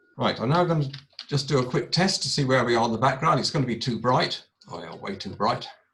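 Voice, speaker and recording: The man's delivery is very fast. His intonation has a lively lift. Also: medium pitch for a man. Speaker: astrophotography presenter. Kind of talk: tutorial.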